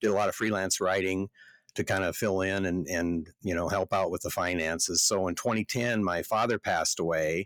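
With a Midwestern US accent, a man speaks at a moderate pace in a very deep, low voice with ordinary pitch variation and very even loudness, recorded dry and close with no echo on a very clean, silent background. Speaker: podcast co-host, farm magazine editor, farmer. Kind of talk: casual chat.

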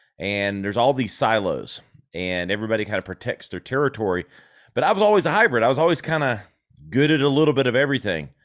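A man with an American accent and medium pitch, at a very fast pace with very wide pitch swings, on a very clean recording with a silent background. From South Carolina. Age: 40s. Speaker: marketing agency founder. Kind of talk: interview, casual chat.

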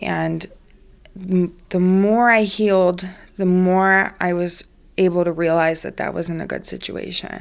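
Her pitch is medium and her intonation monotone and flat. The woman speaks slowly, with an American accent, at a fairly slow pace. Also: very clean recording, silent background. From US South, Savannah, Georgia. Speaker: recovering addict sharing her story. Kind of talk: personal testimony interview. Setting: studio with her baby on her lap. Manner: hesitant, many fillers.

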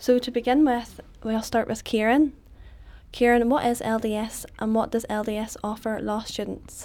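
A woman's fairly high voice with a dark, mellow tone, monotone, flat intonation and a fairly slow pace. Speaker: student podcast host. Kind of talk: interview.

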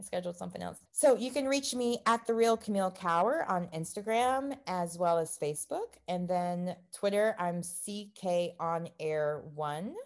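An ordinary speaking voice, a woman with an American accent, medium pitch, moderate pace and lively intonation. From grew up moving around, military family, abroad before US. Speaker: actor and podcast host. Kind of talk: casual interview chat.

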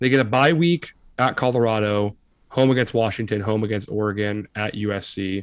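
A man with a plain, everyday voice speaks at a moderate pace and fairly low pitch, with ordinary pitch variation, in a very clean recording with a silent background. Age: 20s. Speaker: college football podcast co-host. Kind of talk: casual chat.

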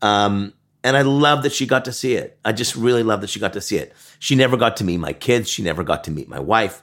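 Talking very fast, a man uses a medium pitch and lively intonation. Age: 50s. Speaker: marketing agency founder and author. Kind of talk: casual interview chat. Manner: halting with fillers.

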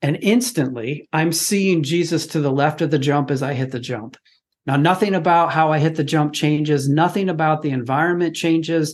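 A man talks in a normal speaking voice at a moderate pace over a quiet background. His pitch is fairly high, with ordinary variation. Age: 50s. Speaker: fatherhood podcast guest. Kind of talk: casual chat.

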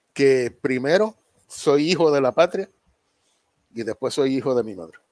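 Fairly high male voice, a dry, close sound with no echo. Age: 70s. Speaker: war veteran. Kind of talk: interview.

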